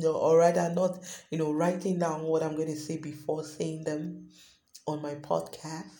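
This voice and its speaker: A woman speaks at a moderate pace with a very deep, low pitch. Audible room echo surrounds her voice. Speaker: podcast host. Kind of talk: unscripted monologue.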